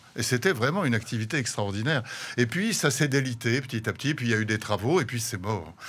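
A man talks at a very fast pace with a medium pitch. His intonation is lively. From France, Paris. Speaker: painter and visual artist. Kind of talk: radio interview. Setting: studio. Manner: halting, many repetitions.

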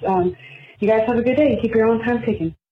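A woman with an American accent talks over noticeable background noise. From Florida Panhandle. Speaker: listener caller. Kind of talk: voicemail message.

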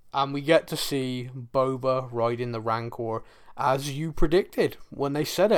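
Pitched fairly high, a man talks with ordinary pitch variation in a plain, everyday voice. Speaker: podcast host. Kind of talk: casual chat.

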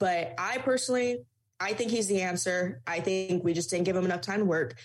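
Music plays behind a woman speaking with an American accent. She talks at a fairly quick pace, her pitch swinging very widely. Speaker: student sports journalist. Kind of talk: interview chat.

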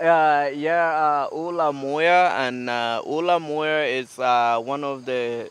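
A male voice is heard. The pitch shifts by ordinary amounts. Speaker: community farm director. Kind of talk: interview. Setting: outdoors.

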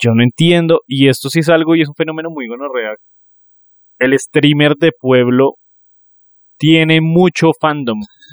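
A man speaks with fairly high pitch and ordinary pitch variation, leaving long, frequent pauses. The sound is dry and close with no echo. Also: fairly slow pace. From Colombia, Neiva (Huila). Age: 30s. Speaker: podcast co-host. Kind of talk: casual chat. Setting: recording with a phone camera.

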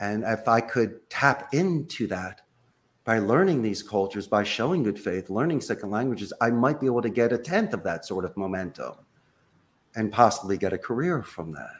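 A man with an American accent and a normal speaking voice, medium pitch, lively intonation, moderate pace. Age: 50s. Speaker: call center executive. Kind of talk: interview conversation. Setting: video call.

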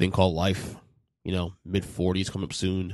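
Vocal fry runs through speech at a moderate pace over a quiet background. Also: man. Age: 40s. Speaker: podcast host. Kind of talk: casual chat. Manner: halting.

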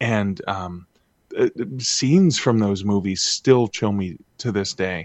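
In a Canadian accent, a man talks at a very slow pace. His fairly low voice shows ordinary pitch variation. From Canada, northern Ontario. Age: 50s. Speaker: author. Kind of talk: interview. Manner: halting.

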